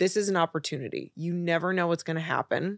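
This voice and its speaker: This is a woman with a normal speaking voice at a fairly low pitch. The sound is dry and close, with no echo. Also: very clean recording, silent background. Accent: American. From US Midwest, Chicago. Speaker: content creator, former fashion designer. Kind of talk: casual interview chat.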